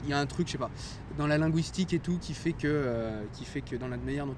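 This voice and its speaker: With ordinary pitch variation, the man's voice stays at a medium pitch. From France. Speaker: chemist retraining as music therapist. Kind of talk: casual chat. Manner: hesitant, many fillers.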